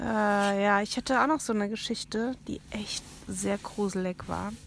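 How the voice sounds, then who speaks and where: A woman's ordinary speaking voice at medium pitch, fairly slow pace and fairly even intonation. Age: 40s. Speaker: aunt of the hosts, guest. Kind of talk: casual chat with scary storytelling. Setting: inside a tent at a campsite at night.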